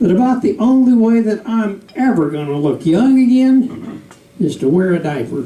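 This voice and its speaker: With audible room echo, a man in a Southern US accent talks at a moderate pace, his pitch swinging very widely. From US South. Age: 70s. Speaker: comedian. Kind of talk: stand-up. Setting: stage with audience.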